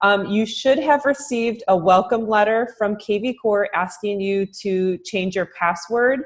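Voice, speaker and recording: A woman talks at a fairly slow pace with hardly any pauses and ordinary pitch variation, against a quiet background. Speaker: marketing director training real estate agents; trainer for real estate agents. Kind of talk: recorded software training webinar. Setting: closed room, recorded Zoom webinar. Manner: many filler words (um, uh). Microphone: webcam.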